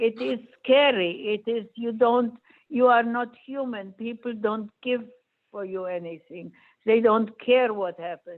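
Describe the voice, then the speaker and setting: In a non-native accent, a woman speaks at a fairly slow pace and fairly high pitch, with ordinary pitch variation. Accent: foreign. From Poland. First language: not English. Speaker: Holocaust survivor speaker. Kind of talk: Q&A answer to students.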